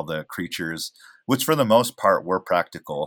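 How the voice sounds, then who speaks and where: A man with a General American accent and an unremarkable speaking voice, fairly low in pitch, with lively intonation, on a very clean recording with a silent background. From Oregon, US. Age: 30s. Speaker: actor and filmmaker. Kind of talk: casual chat.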